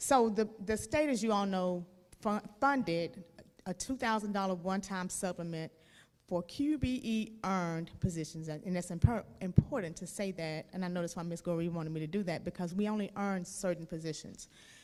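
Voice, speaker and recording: A woman at a medium pitch with ordinary pitch variation, in a very clean recording with a silent background. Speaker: school district finance official. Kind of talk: board meeting presentation. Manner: fast; loud.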